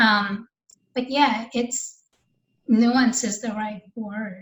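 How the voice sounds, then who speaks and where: The woman's voice is fairly high and somewhat breathy. She speaks very slowly with fairly even intonation. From Russia, moved to US when young. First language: Russian. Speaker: novelist and artist. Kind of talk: interview. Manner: casual, hesitant with repetitions.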